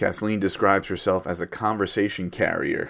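The recording is very clean with a silent background. A man speaks at a fairly quick pace in a monotone, flat intonation. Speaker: podcast host. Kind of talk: casual interview.

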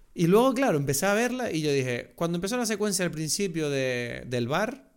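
A man with a Canarian accent, lively in intonation and fairly quick in pace. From France, raised in the Canary Islands. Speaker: podcast co-host, film commentator. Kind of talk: casual chat.

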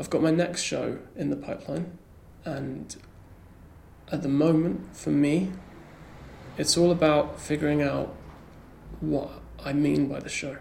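With an English accent, a man speaks at a fairly slow pace, leaving long, frequent pauses. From rural England. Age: 20s. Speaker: comedian. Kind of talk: casual chat. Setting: comedy club attic. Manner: halting.

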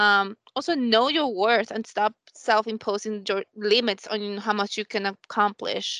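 Bright and sharp in tone, the speech comes at a fairly slow pace with fairly even intonation and hardly any pauses, in a dry, close sound with no echo over a quiet background. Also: woman, fairly high pitch for a woman. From Colombia. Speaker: business analyst. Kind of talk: panel discussion.

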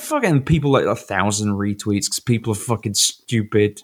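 Delivered at a moderate pace with a British accent, this very clean recording has a silent background. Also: man. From Britain. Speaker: podcast co-host. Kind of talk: casual chat.

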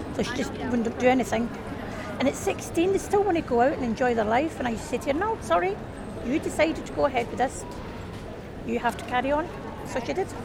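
A woman speaks very fast at a high pitch with very wide pitch swings and long, frequent pauses, crowd noise in the background. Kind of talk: casual chat. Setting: outdoors.

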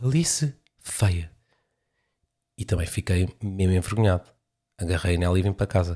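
With a European Portuguese accent, a man with a very deep, low pitch speaks in a dark, mellow, somewhat breathy tone, leaving long, frequent pauses, on a very clean recording with a silent background. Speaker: podcaster and stand-up comedian. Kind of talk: stand-up comedy riff with rambling casual asides. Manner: conversational, self-deprecating, hesitant with filler words.

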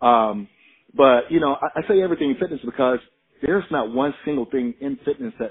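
In an ordinary speaking voice, a man at medium pitch talks at a fairly quick pace with lively intonation and big swings in loudness. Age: 40s. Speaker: strength and conditioning coach. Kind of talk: casual chat.

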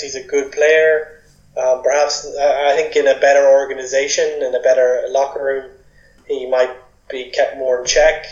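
In an Irish accent, a man talks at a moderate pace. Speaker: sports podcast co-host. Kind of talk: casual chat.

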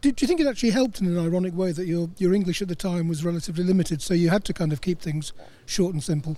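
Here a man talks at a very fast pace in a high pitch with ordinary pitch variation. His tone is dark and mellow. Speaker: motorsport journalist. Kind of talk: interview.

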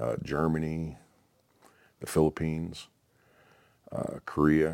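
The voice belongs to a man. It sits at a very deep, low pitch. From Oklahoma. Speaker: military veteran, retired paramedic. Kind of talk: interview testimony. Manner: halting, many fillers.

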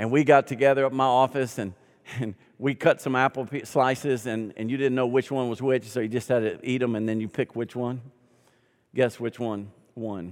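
In an animated tone, a man of medium pitch talks at a fairly quick pace with ordinary pitch variation. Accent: Southern US. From US South. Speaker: pastor. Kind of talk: sermon. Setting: church.

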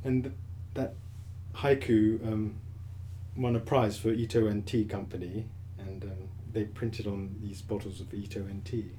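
A man talks at a fairly slow pace with long, frequent pauses, his pitch fairly low and his intonation monotone and flat. His tone is dark and mellow, somewhat breathy, with audible room echo. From grew up in Asia (Tokyo, Hong Kong), English family. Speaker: potter and Zen monk. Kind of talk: casual interview. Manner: halting.

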